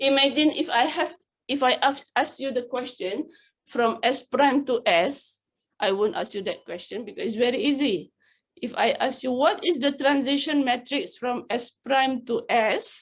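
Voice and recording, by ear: Pitch variation is ordinary. The pace is fairly slow. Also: woman, high pitch for a woman.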